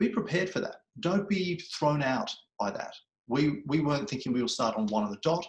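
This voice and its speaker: Somewhat breathy and fairly high-pitched, a man talks at a fairly quick pace with very wide pitch swings. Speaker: public speaking coach. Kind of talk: webinar presentation. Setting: online webinar. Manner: fast.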